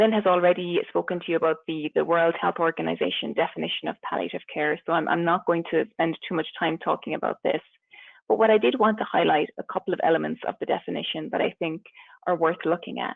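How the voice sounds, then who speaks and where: Spoken at a very fast pace with a slight Irish accent. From Ireland. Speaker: palliative care physician. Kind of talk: webinar presentation. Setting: webinar.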